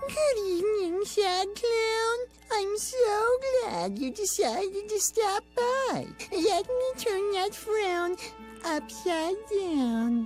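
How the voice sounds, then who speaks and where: With clear music in the background, a female-sounding voice puts on a character voice at an extremely high pitch and a very slow pace. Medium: machinima. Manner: syrupy, motherly, controlling.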